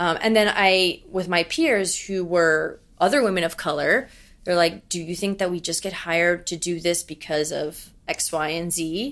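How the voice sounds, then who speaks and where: A woman with an American accent speaks in an ordinary speaking voice at a moderate pace. Her pitch is fairly low with ordinary variation, on a very clean recording with a silent background. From New York. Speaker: young professional and former runner. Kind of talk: interview.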